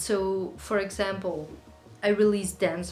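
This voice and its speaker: A Dutch accent, with music in the background and audible room echo. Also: woman. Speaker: singer-songwriter YouTuber. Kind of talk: casual Q&A monologue. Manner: conversational, chatty.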